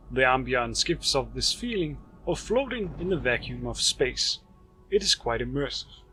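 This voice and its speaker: A man speaks at a moderate tempo while music plays in the background. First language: not English. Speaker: game reviewer. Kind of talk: video game review narration.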